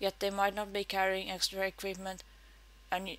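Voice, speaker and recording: A woman with a Finnish accent speaks at a medium pitch. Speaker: game player and video maker. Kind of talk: read-aloud game tips talk. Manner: tongue-in-cheek.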